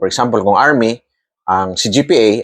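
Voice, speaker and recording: A man with a plain, everyday voice speaks at a fairly slow pace and a medium pitch. The sound is dry and close with no echo, in a very clean recording over a silent background. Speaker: army colonel explaining military matters. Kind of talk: explainer monologue. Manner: formal.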